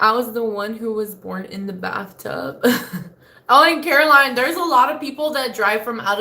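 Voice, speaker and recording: With an American accent and lively intonation, a woman speaks at a moderate pace amid noticeable background noise and audible room echo. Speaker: live streamer. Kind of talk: casual chat reading live comments. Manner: expressive, dramatic.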